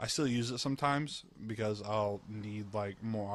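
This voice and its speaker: A man with a fairly low pitch and a slight Southern US accent. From US South, Georgia. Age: 20s. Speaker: gamer. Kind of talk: casual chat. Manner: halting.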